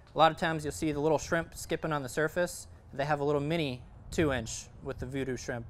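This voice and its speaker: A man's fairly high-pitched, normal speaking voice, a normal speaking voice at a moderate pace with ordinary pitch variation. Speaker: fishing instructor. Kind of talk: presentation to audience. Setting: event with live audience. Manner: many filler words.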